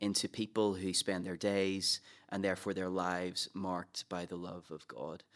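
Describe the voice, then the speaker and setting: A man with a Northern Irish accent talks at a moderate pace in a fairly low pitch. The recording is very clean, with a silent background. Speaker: pastor. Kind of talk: casual chat.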